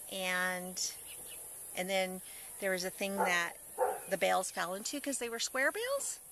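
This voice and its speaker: The speaker has an Upper Midwest accent. The pace is moderate. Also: woman. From North Dakota. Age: 30s. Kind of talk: interview answer. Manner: casual, reminiscing.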